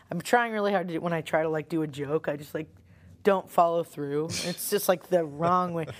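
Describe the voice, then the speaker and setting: An ordinary speaking voice from a woman, fairly low in pitch, with ordinary pitch variation at a moderate pace on a very clean recording with a silent background. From US Northeast, Long Island. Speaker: rock singer. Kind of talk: casual interview. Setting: band practice space.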